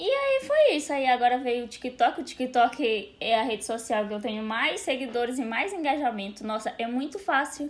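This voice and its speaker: Over noticeable background noise, a woman talks in a high pitch with hardly any pauses. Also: moderate pace. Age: 20s. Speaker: content creator. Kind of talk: casual chat.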